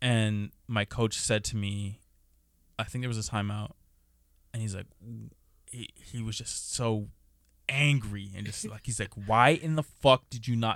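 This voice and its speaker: A man at a medium pitch and a fairly slow pace, in a very clean recording with a silent background. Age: 20s. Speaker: podcast co-host, former basketball player. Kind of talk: casual chat. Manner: animated.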